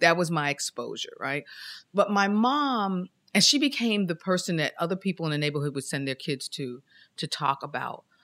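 A woman speaks with a fairly low pitch and very wide pitch swings. The recording is very clean, with a silent background. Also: moderate pace, dry, close sound with no echo. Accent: American. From New York City (Queens). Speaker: churchgoer sharing faith story. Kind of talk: testimony.

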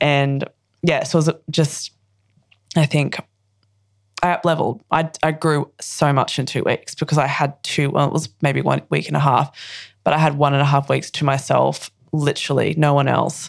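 In an Australian accent, a woman speaks with vocal fry at a very deep, low pitch. She leaves long, frequent pauses while her loudness stays very even. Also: moderate pace. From Australia (Queensland). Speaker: actress and poet. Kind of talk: casual interview chat. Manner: bubbly, laughing.

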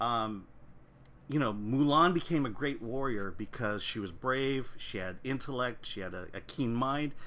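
In a room with audible echo, a bright, sharp voice with an American accent moves at a fairly slow pace with lively intonation. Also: man, medium pitch for a man. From US. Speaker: film critic and editor. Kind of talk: casual chat.

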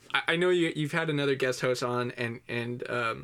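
A man with a normal speaking voice talks at a moderate pace, with medium pitch and fairly even intonation. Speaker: podcast guest reviewer. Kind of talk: casual comedic chat. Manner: joking, deadpan.

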